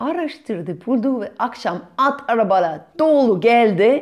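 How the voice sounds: With a slightly mellow tone, a woman speaks using lively intonation.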